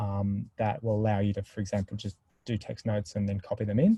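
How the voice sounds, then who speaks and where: Against a quiet background, a man with a dark, mellow tone speaks at a moderate pace and fairly low pitch, somewhat breathy, in a dry, close sound with no echo. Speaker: software product presenter. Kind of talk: webinar Q&A. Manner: mumbling.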